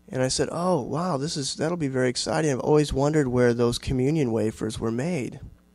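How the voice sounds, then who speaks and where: An American-accented man talks at a fairly quick pace with hardly any pauses. The sound is dry with no echo, and his pitch varies in an ordinary way. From Iowa, US Midwest. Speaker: writer and university teacher; university teacher. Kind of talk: audience Q&A; lecture with reading aloud. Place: hall.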